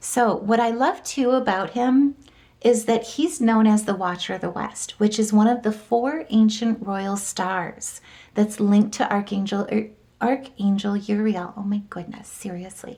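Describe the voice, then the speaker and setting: A woman talks at a fairly slow pace with a fairly high pitch and ordinary pitch variation. Her voice is somewhat breathy, with a dark, mellow tone. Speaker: tarot and astrology reader. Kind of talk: astrology forecast monologue.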